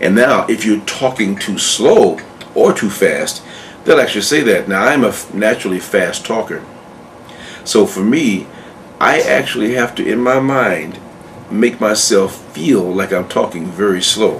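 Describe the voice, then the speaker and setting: Noticeable background noise is present. A man speaks fairly slowly over it. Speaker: acting coach. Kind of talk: tutorial. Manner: halting, repeated words.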